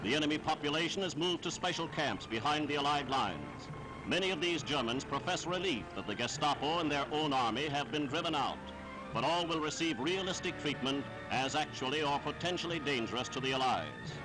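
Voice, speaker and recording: A man at a fairly quick pace, very even loudness, ordinary pitch variation, and music in the background. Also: fairly high pitch for a man. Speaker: newsreel announcer. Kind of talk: wartime newsreel narration. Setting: archival 1940s recording.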